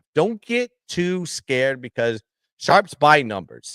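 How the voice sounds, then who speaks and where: A man is heard in dry, close sound with no echo. The recording is very clean, with a silent background. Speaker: sports betting show co-host. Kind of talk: sports betting analysis. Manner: halting, many fillers and repeats.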